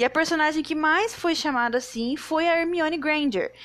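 A woman speaks at a moderate pace and with ordinary pitch variation, the background quiet. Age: 20s. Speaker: podcaster. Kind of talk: solo podcast monologue.

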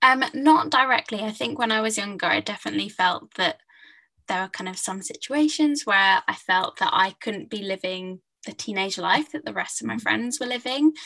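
A woman in a southern English accent, fairly high in pitch, bright and sharp in tone, at a moderate pace with lively intonation. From England, Hertfordshire. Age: 20s. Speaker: novelist. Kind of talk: interview.

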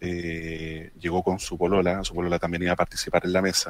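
The recording is very clean with a silent background, carrying a man's very deep, low pitch. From Chile. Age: 30s. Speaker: tabletop role-playing gamer. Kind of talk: casual panel chat. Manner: halting.

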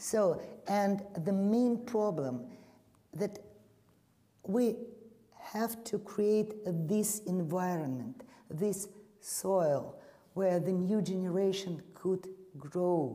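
At a very slow pace with long, frequent pauses, a woman in a Russian accent speaks with very even loudness and ordinary pitch variation, and audible room echo. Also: medium pitch for a woman. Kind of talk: panel discussion.

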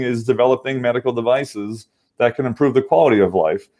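At a moderate pace, a speaker with an American accent uses a normal speaking voice against a quiet background. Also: man. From Massachusetts. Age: 50s. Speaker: medical device engineer and venture investor. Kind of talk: interview. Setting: online call.

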